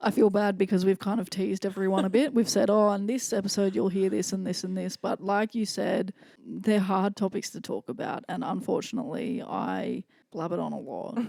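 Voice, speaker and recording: With a dark, mellow tone and vocal fry, a woman speaks at a fairly quick pace and medium pitch with ordinary pitch variation. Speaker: podcast co-host. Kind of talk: casual chat.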